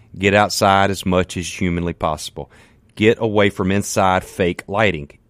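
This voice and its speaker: Animated and at a moderate pace, a man speaks in a Mississippi accent. The recording is very clean with a silent background and a dry, close sound with no echo. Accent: Southern US (Mississippi). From US South, Mississippi. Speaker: fitness trainer. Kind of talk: radio interview, fitness advice. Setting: studio.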